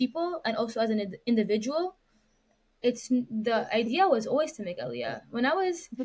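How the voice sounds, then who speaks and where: A woman with a fairly high pitch talks at a fairly quick pace in a somewhat breathy voice. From Canada, Montreal. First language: French. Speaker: activist and lawyer. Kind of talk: interview conversation. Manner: hesitant, many fillers and restarts.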